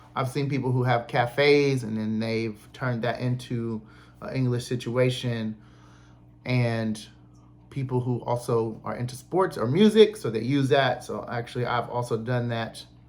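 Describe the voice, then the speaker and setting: A man with a normal speaking voice, an American accent, fairly even intonation, and a fairly slow pace. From Cleveland, Ohio. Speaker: English teacher and indie musician. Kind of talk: podcast talk. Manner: casual, conversational.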